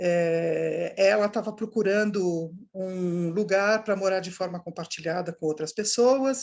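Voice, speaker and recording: A woman with a normal speaking voice talks at a fairly slow pace with hardly any pauses. Her voice is medium in pitch, with ordinary pitch variation. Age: 60s. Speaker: startup founder. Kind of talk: online course interview.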